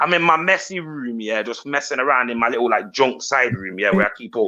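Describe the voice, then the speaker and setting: Loud and at a medium pitch, a man speaks in a British accent with lively intonation and a fairly quick pace. His tone is bright and sharp, and the background is quiet. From Britain. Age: 30s. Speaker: YouTuber. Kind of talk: casual chat.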